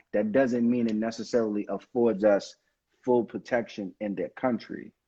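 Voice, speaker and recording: A man speaks in a Brooklyn accent at a medium pitch. His pace is fairly slow. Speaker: attorney. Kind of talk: live stream Q&A on legal topics.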